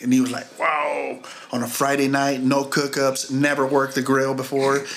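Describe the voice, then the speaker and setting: The voice has an American accent and monotone, flat intonation. Noticeable background noise and audible room echo come through. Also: man. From Missouri. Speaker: chef. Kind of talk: casual chat.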